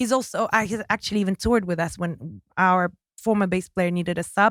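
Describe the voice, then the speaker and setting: A woman with a slight British accent speaks at medium pitch with ordinary pitch variation, in a dry, close sound with no echo on a very clean recording with a silent background. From Kazakhstan. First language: Russian. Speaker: singer. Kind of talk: casual interview. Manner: halting.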